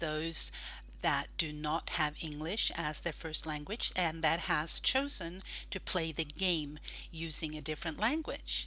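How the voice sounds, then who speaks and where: A woman with a Norwegian accent speaks at a fairly slow pace in a very clean recording with a silent background. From Norway. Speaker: gaming group admin. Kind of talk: tutorial.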